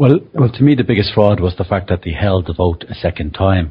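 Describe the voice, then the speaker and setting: A man speaks with an Irish accent in a somewhat breathy voice. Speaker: conference attendee. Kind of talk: casual discussion.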